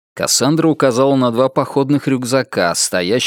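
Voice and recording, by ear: A natural voice reading aloud, its intonation fairly even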